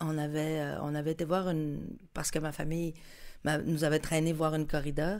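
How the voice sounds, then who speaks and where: A woman's very deep, low-pitched voice at a moderate pace, in a monotone, flat intonation. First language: Spanish (speaking French). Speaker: musician. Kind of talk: casual chat.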